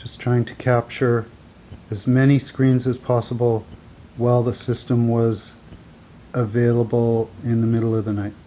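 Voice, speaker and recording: A soft-spoken man talks at a medium pitch in a dark, mellow tone. His intonation is monotone and flat, with long, frequent pauses. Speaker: amateur wildfire map commentator. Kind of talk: screen-share commentary. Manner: slow.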